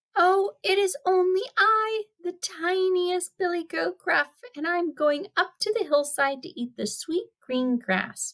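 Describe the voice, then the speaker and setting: A squeaky, put-on character voice moves at a fairly slow pace. There are hardly any pauses. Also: woman, extremely high pitch for a woman. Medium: read story. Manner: timid.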